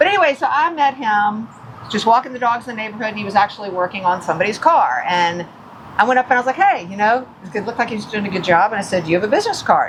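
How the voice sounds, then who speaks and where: A woman with an American accent and a fairly high pitch, talking at a very fast pace amid noticeable background noise. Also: lively intonation. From US South, Atlanta. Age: 60s. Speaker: podcast co-host. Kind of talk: casual chat. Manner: animated.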